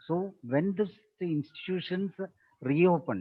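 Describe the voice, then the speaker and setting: The speaker talks at a fairly slow pace with a Keralan accent. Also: man. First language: Malayalam. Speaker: teacher trainer / resource person. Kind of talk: webinar Q&A answer.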